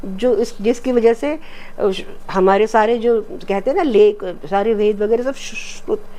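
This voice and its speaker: Speaking with a Marathi accent, a woman has a fairly high pitch, a dark, mellow tone and ordinary pitch variation. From Madhya Pradesh, India. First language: Marathi (speaking Hindi). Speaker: retired defence scientist. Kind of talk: interview conversation.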